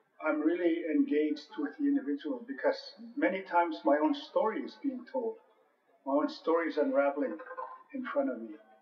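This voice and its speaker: A man speaks at a fairly quick pace with a high pitch. Audible room echo and light background noise are present. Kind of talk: interview answer. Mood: earnest, reflective. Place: hall.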